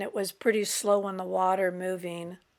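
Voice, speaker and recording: A woman talks at a moderate pace with monotone, flat intonation. The recording is very clean, with a silent background. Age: 60s. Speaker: travel vlogger. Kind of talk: casual narration.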